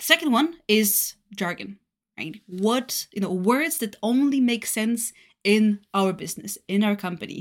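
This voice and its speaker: Speaking at a fairly slow pace with lively intonation, a woman with a Bulgarian accent has a fairly high pitch on a very clean recording with a silent background. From Bulgaria, Varna. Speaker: solution engineer. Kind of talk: casual interview.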